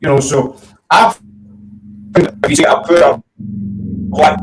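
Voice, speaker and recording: A man talks with a strong Glasgow accent. His pitch is fairly high. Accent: strong Glasgow Scottish. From Scotland, Glasgow. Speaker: paranormal talk show host. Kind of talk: casual chat. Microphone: static, cutting in and out.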